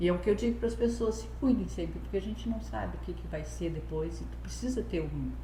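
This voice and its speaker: A woman talks at a fairly quick pace in a very deep, low voice with monotone, flat intonation. Room echo and background noise are both noticeable. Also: hardly any pauses. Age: 60s. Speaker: retiree, gym member. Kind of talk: interview, casual chat.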